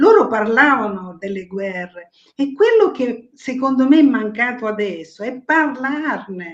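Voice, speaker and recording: At a fairly slow pace, a woman speaks at a high pitch with very wide pitch swings. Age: 70s. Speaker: writer, guest. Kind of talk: casual chat. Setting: live streaming show. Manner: animated.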